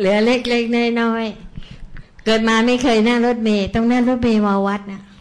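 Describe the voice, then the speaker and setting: In a fairly high pitch, a woman speaks with monotone, flat intonation, and audible room echo surrounds her voice. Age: old. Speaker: Buddhist meditation practitioner. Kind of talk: spiritual testimony.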